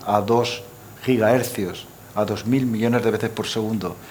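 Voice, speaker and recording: Over noticeable background noise, a man talks at a fairly slow pace. His pitch is medium. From Aragon, Spain. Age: 70s. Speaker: supercomputing center director. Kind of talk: panel discussion. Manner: animated.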